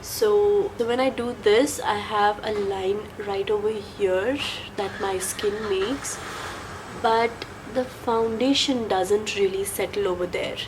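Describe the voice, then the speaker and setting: Noticeable background noise sits behind a woman's fairly high voice. Her intonation stays fairly even. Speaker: beauty vlogger. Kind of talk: casual talk to camera, product review.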